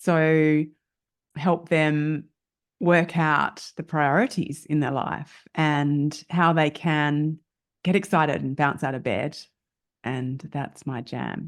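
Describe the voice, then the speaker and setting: With an Australian accent, a woman speaks very slowly in a very deep, low voice and fairly even intonation. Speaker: lifestyle coach. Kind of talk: podcast interview.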